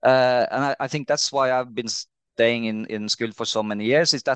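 A man speaks with a Norwegian accent and ordinary pitch variation. The sound is dry and close with no echo, against a quiet background. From Norway, Trondheim. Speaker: CEO of a marine insurer. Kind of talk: interview. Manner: hesitant, many fillers.

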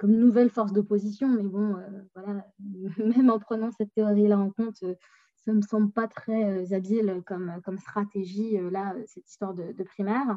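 At a moderate pace, a woman speaks at medium pitch with monotone, flat intonation and big swings in loudness. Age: 20s. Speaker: political science graduate. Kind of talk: casual chat.

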